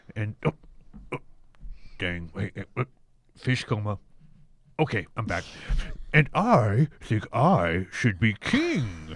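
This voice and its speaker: A man performs a put-on character voice at a fairly slow pace. He leaves long, frequent pauses. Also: fairly low pitch for a man. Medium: comedy sketch.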